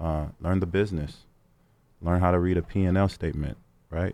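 A dark, mellow tone delivered in a monotone, flat intonation at a moderate pace. The recording is very clean with a silent background. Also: man. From Sacramento, California. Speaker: music label executive. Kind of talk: interview.

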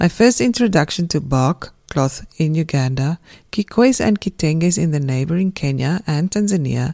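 In a South African accent, a woman speaks at a moderate pace with a very deep, low pitch and a dark, mellow tone, the sound dry and close with no echo. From South Africa, Pretoria. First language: Afrikaans. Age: 50s. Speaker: textile writer and podcast host. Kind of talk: scripted narration.

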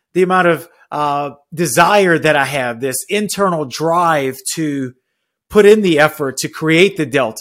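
This is an unremarkable speaking voice with ordinary pitch variation, at a fairly slow pace. The recording is very clean, with a silent background. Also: man. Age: 40s. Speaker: life and money coach podcast host, military chaplain. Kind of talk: motivational monologue.

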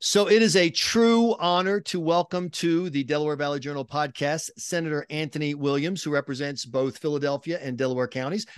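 Speaking with an American accent, a man with an ordinary speaking voice and fairly high pitch moves at a fairly quick pace with hardly any pauses, the sound dry and close with no echo. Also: ordinary pitch variation. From rural South Carolina. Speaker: podcast host. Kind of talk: interview.

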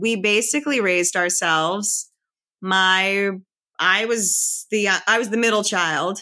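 A woman with an American accent at medium pitch, with a bright, sharp tone, ordinary pitch variation and a very slow pace, in a very clean recording with a silent background. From Philadelphia area, US. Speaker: podcast guest. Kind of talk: casual interview.

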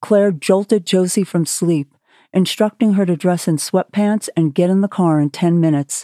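Simply plain reading aloud

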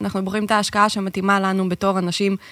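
On a very clean recording with a silent background, a woman speaks very fast in a bright, sharp tone. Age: 30s. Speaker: podcast co-host, real estate investment advisor. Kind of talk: podcast interview.

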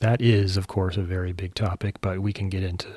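In an American accent, a man with a very deep, low pitch talks at a moderate pace in a dark, mellow, somewhat breathy tone with monotone, flat intonation. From California, US (San Jose). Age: 60s. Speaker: podcast host. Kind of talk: scripted monologue introduction.

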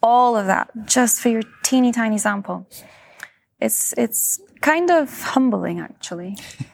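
A woman speaks at a fairly slow pace with a Scottish accent. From Scotland. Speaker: physicist. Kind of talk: interview.

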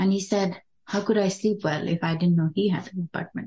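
A somewhat breathy voice at a fairly quick pace with fairly even intonation. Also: woman. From Dubai, Indian family. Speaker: tech product developer. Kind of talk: casual chat. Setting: in-person group conversation.

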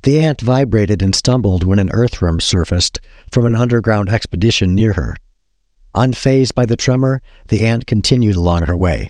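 An unremarkable speaking voice at a fairly quick pace, with ordinary pitch variation and very even loudness against a quiet background. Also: man, fairly low pitch for a man. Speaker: podcast host reading a book's first page. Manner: measured, descriptive narration with storyteller's pacing.

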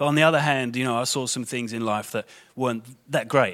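The speaker has a London accent. The recording is very clean, with a silent background. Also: man. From London, England. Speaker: guest preacher. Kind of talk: sermon. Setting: church. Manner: informal, conversational.

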